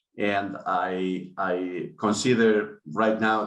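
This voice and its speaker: A man with a Spanish accent speaks at a fairly low pitch, with audible room echo. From Spain. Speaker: business school dean. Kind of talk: online panel discussion. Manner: halting, many fillers.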